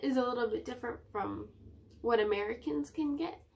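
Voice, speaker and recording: Pitch swings very widely as this woman talks in a fairly high register. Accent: Canadian. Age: 20s. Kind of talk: casual talk to camera.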